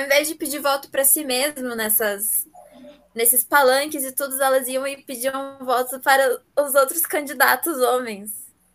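At a fairly slow pace, a woman speaks at a high pitch. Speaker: podcast co-host. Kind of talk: casual chat.

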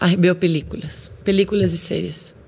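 Speaking at a moderate pace and medium pitch, a woman with a slight Brazilian accent uses lively intonation. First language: Portuguese (speaking Spanish). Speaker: actress and presenter. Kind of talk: casual interview.

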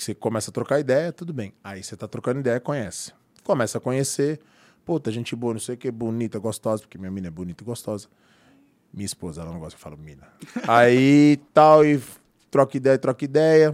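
A man talks fairly quickly in a normal speaking voice at a medium pitch, with big swings in loudness. The recording is very clean with a silent background, dry and close with no echo. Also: lively intonation. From Brazil, São Paulo metro area. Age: 40s. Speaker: personal trainer and former rapper. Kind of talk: casual interview chat.

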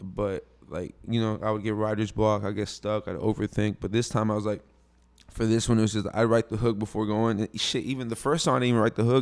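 Very fast speech from a man with a Houston accent, fairly low in pitch, with fairly even intonation. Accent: Houston Texas. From US Texas. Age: 20s. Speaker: rapper. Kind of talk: casual interview chat. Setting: studio.

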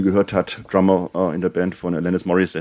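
Very deep, low male speech carrying a dark, mellow tone. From Bavaria. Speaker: indie rock podcast co-host. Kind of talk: casual chat.

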